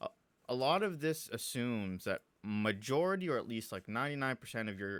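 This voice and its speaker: At a moderate pace, a man's voice makes very wide pitch swings in a dry, close recording with no echo, very clean with a silent background. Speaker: programming tutorial youtuber. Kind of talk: tutorial. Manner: halting, many fillers.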